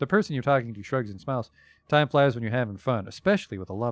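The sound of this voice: The speaker uses an unforced reading voice with ordinary pitch variation.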